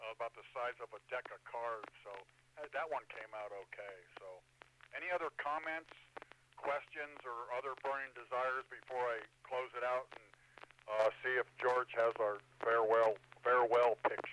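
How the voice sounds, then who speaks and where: Over noticeable background noise, a man speaks at medium pitch and a moderate pace, with ordinary pitch variation and long, frequent pauses. His loudness swings widely, and the sound is dry and close with no echo. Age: 60s. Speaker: amateur radio net control operator. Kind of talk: radio net discussion. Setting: amateur radio repeater. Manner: hesitant with many fillers.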